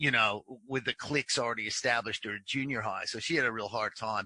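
With an American accent, a man speaks fairly quickly at a medium pitch, his tone bright and sharp, his intonation fairly even, and the sound dry with no echo. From Pacific Northwest, USA. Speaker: sports broadcaster. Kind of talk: interview answer. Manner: casual, conversational. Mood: reflective, relaxed storytelling.

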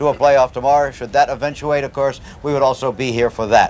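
A man is speaking. Music plays in the background. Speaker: TV sports host. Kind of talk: broadcast presentation. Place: open country.

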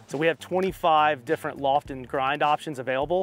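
A man at a fairly quick pace, dry sound with no echo, faint music in the background. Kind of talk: explanatory talk to a customer. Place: open country. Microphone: lapel.

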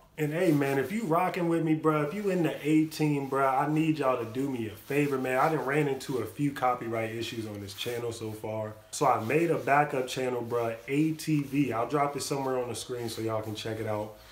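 Delivered at a fairly quick pace with hardly any pauses, the speech has ordinary pitch variation and audible room echo. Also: man. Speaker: reaction youtuber. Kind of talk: casual vlog chat. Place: home room. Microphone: phone near.

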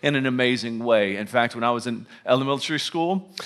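A man speaks at a moderate pace with ordinary pitch variation. The background is quiet. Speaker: pastor preaching. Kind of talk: sermon. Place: hall.

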